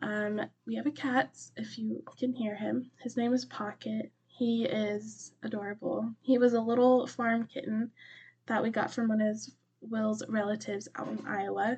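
Somewhat breathy, a woman talks at a fairly high pitch and a moderate pace with fairly even intonation. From US, Colorado mountains. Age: 20s. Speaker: book podcast host. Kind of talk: casual chat. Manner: frequent fillers.

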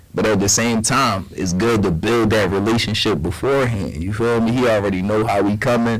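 Speaking at a fairly quick pace with hardly any pauses, a man with a fairly low pitch keeps a very even loudness and ordinary pitch variation, amid audible room echo and noticeable background noise. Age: 30s. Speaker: podcast co-host. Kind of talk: casual chat.

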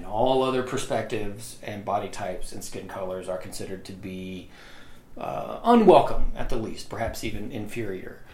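A man with an American accent speaks at a moderate pace and a fairly low pitch, with ordinary pitch variation. His loudness swings widely, and there is noticeable background noise. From US South, Mississippi. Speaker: history professor. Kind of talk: casual chat. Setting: home office.

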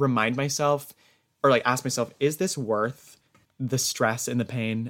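A man with a normal speaking voice talks at a moderate pace and medium pitch, with fairly even intonation. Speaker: music theater student. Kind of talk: casual chat.

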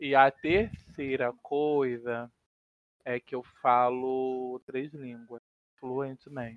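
Very slowly and with long, frequent pauses, a man speaks at a medium pitch with fairly even intonation and big swings in loudness, the sound dry and close with no echo. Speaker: podcast co-host, gamer. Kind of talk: casual chat.

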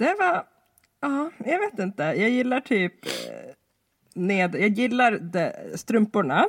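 A very slow pace with long, frequent pauses. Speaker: podcast co-host. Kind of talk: casual chat.

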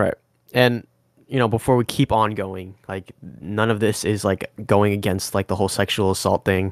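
An ordinary speaking voice with an American accent at a moderate pace, fairly even intonation, a dry, close sound with no echo, and a very clean recording with a silent background. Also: man, fairly low pitch for a man. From Washington State, Bellevue area. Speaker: podcast co-host. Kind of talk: casual chat.

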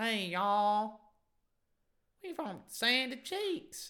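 A female-sounding put-on character voice, pitched fairly high, that moves along very slowly. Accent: Texan.

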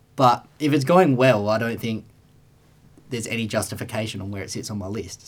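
Speaking with an Australian accent, a man keeps a medium pitch, a moderate pace and ordinary pitch variation. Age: 20s. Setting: studio. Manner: laid-back, jokey.

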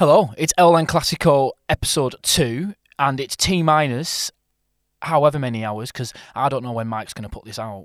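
Recorded very cleanly against a silent background, with a dry, close sound and no echo, a man speaks in a fairly high pitch at a moderate pace, with ordinary pitch variation and big swings in loudness. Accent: Lancashire. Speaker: podcast host. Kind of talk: casual banter podcast chat. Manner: jokey, laughs easily.

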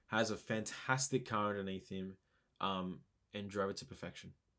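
The recording is very clean and the background silent. In it, a man with an Australian accent speaks at a moderate pace. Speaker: podcast co-host. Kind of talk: casual chat.

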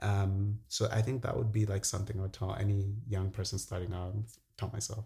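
A man speaks at a fairly quick pace in a fairly low pitch, with a dark, mellow tone, a somewhat breathy quality and flat, monotone intonation. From Zambia. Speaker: entrepreneur. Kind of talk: casual chat.

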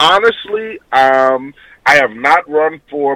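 Music plays in the background as a man speaks with lively intonation. The sound is dry and close, with no echo. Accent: American. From Houston, Texas. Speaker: city council candidate. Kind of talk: radio interview, campaign talk. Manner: earnest, polite, with frequent um's.

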